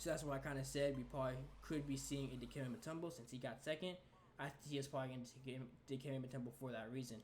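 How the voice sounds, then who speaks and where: A man speaks at a very fast pace and medium pitch, somewhat breathy. Audible room echo is present. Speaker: gaming youtuber. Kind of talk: casual video commentary. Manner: stuttering today.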